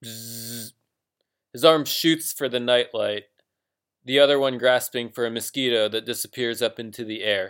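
A man with a plain, everyday voice and an American accent, medium pitch, fairly even intonation, moderate pace and big swings in loudness. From US. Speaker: fiction writer, podcast host. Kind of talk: reading aloud; casual podcast intro.

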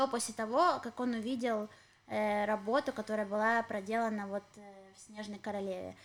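In an unremarkable speaking voice, a woman talks at a fairly quick pace with a fairly high pitch and fairly even intonation. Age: 30s. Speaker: podcast co-host. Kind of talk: casual chat. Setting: home apartment.

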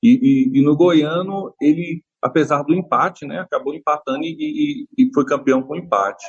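A man is speaking. He goes at a fairly slow pace. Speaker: football fan. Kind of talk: interview. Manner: halting.

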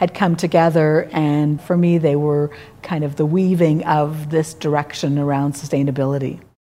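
In a Canadian accent, a woman with a plain, everyday voice talks at a moderate pace, her pitch fairly low and her intonation fairly even. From Quebec, Montreal. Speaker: architect. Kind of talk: interview.

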